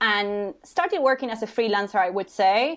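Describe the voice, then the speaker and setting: Fairly quick pace and ordinary pitch variation against a quiet background. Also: woman. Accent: Spanish. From Uruguay. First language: Spanish. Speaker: HR consultant. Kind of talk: interview podcast.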